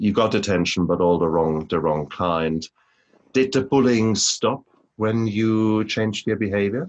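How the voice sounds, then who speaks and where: Against a quiet background, a man uses an ordinary speaking voice at a fairly slow pace with ordinary pitch variation. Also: fairly low pitch for a man, very even loudness. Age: 50s. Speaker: podcast host. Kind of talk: interview.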